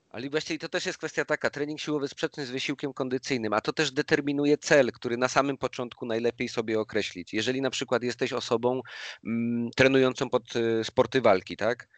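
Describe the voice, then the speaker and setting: A man speaks at a very fast pace with fairly even intonation, in a dry, close sound with no echo and a quiet background. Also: medium pitch for a man. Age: 30s. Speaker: personal trainer. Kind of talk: casual interview chat. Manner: halting, repeats words.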